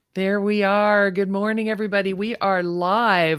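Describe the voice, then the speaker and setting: A woman talks at a moderate pace with a normal speaking voice. The recording is very clean, with a silent background. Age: 60s. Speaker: podcast host and retirement coach. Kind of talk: interview. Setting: live stream.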